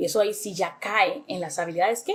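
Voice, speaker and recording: A woman at medium pitch, talking at a fairly quick pace. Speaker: English teacher. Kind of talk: educational talk to camera. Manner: animated.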